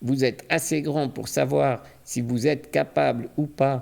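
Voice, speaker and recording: Vocal fry runs through this fairly slow delivery, which has lively intonation. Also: man. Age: 40s. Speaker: crypto YouTuber and coach. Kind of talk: channel introduction monologue.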